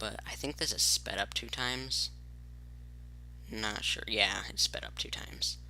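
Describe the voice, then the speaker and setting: This soft-spoken voice moves at a fairly slow pace, broken by long, frequent pauses. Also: man. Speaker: gaming youtuber. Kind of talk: gameplay commentary. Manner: quiet, soft-spoken; casual, halting with fillers.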